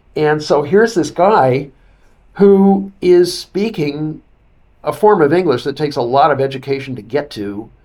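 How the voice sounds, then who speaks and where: A man speaks with a fairly high pitch and a dark, mellow tone. His pitch variation is ordinary. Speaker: author and broadcaster. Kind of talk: interview commentary.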